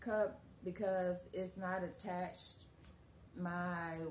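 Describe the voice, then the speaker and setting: Over light background noise, a woman speaks in a somewhat breathy, fairly low voice with fairly even intonation. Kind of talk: tutorial. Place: home room. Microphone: phone near.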